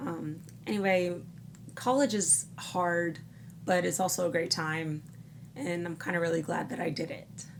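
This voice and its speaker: A woman speaks at a fairly low pitch and a fairly slow pace, with ordinary pitch variation and long, frequent pauses. Noticeable background noise and audible room echo fill the recording. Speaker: college student vlogger. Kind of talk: personal vlog.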